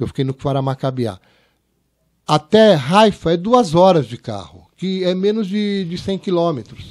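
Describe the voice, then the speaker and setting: Over a quiet background, a man speaks at a fairly slow pace, his fairly high pitch swinging very widely. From born in Paris, raised partly in Israel, in Brazil since 1970. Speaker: TV director and producer; podcast guest. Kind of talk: interview. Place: studio. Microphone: studio mic.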